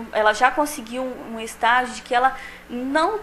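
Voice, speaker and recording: A woman's lively intonation at a fairly slow pace, with light background noise. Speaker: speech-language therapist, expert interviewee. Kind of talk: expert interview answer on the street-report segment. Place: office. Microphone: handheld.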